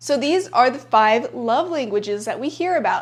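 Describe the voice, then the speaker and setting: A woman with a Spanish accent, high in pitch, at a moderate pace with lively intonation. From bilingual Spanish-English upbringing. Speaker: self-help YouTuber. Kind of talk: casual vlog talk to camera. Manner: conversational with many filler likes.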